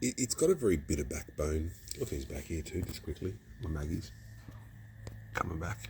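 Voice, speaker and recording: A man with an Australian accent and a very deep, low pitch talks at a fairly quick pace, using vocal fry and very wide pitch swings, with long, frequent pauses. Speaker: beer reviewer. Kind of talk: casual review vlog. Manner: casual, rambling with false starts.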